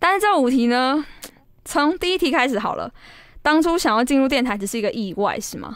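A woman talks at a fairly quick clip in a high pitch, her voice swinging very widely up and down. She leaves long, frequent pauses. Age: 20s. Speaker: podcast host, student radio DJ. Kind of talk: casual chat.

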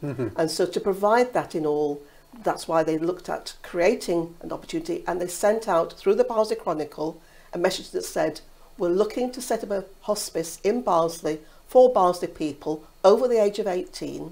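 At a moderate pace, a woman with a dark, mellow tone and medium pitch speaks with lively intonation. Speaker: hospice volunteer. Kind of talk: interview answer. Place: studio. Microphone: lapel.

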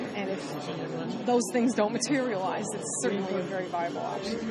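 A woman's voice with ordinary pitch variation, crowd noise in the background. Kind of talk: interview answer. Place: gym.

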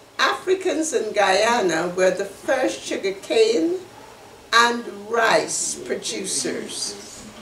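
Over light background noise and audible room echo, a woman speaks at a very slow pace with very wide pitch swings. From Guyana. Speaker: human rights activist and community association member. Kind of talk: educational presentation. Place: home room. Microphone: webcam.

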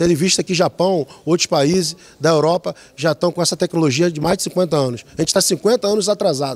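A man with a high pitch speaks at a fairly quick pace. He hardly pauses. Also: ordinary pitch variation. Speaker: head of a metropolitan planning institute. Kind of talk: interview. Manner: halting. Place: hall. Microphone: handheld.

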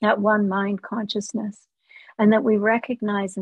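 Against a quiet background, someone reads in an unforced voice.

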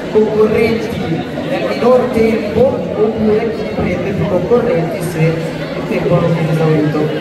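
Someone speaks at a very slow pace amid audible room echo and crowd noise in the background. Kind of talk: instructions to children. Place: hall. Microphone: camera far.

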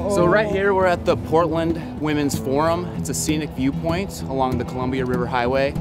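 Clear music plays in the background while the speech, dry with no echo, goes at a fairly quick pace. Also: man. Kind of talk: casual vlog chat. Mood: upbeat. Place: open country. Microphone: phone near.

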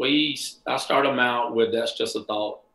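A man with an American accent speaks at a fairly slow pace in a bright, sharp tone, with audible echo from the room. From US South (Bible Belt). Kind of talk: casual interview chat. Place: home room.

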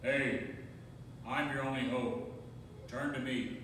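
Putting on a booming character voice at a medium pitch, a man speaks fairly slowly through strong echo and loud background noise. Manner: commanding.

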